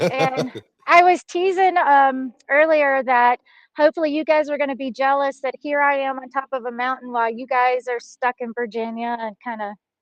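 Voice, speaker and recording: The sound is dry and close with no echo as a woman with a Southern US accent speaks at a high pitch with ordinary pitch variation. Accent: Southern drawl. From Texas. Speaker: hunting guide. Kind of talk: casual interview chat. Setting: video call from a mountaintop.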